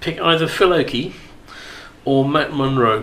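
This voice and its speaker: Speaking with a British accent, a man keeps a moderate pace and ordinary pitch variation. Noticeable noise sits in the background. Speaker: radio host. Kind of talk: casual chat. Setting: studio. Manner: jokey, banter.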